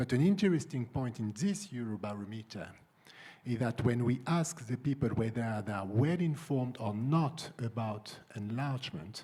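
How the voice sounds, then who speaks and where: A man with a French accent speaks at a moderate pace, his pitch in the middle range and his intonation lively. His tone is dark and mellow, somewhat breathy. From France. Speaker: EU civil servant, panelist. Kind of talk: conference panel discussion. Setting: conference room with audience. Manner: halting, many fillers and repeats.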